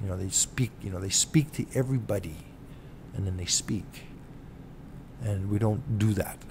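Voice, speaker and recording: A man with a Canadian accent talks at a moderate pace, his voice somewhat breathy and dark, mellow in tone. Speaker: self-represented litigant vlogger. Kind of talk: casual monologue vlog. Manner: halting, many fillers.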